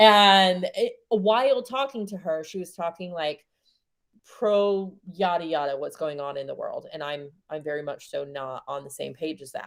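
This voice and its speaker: A woman speaks at a moderate pace in an American accent, her medium pitch carrying lively intonation in an ordinary speaking voice. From New Zealand. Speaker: spiritual coach. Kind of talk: coaching session.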